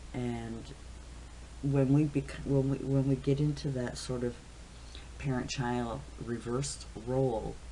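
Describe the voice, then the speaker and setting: Pausing long and often, a man speaks at a fairly slow pace in a room with audible echo. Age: 60s. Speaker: caregiver vlogger. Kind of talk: casual monologue. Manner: halting, many fillers.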